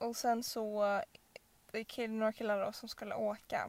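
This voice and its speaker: A woman's fairly high voice at a moderate pace, with monotone, flat intonation. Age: 20s. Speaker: podcast co-host. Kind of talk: casual chat.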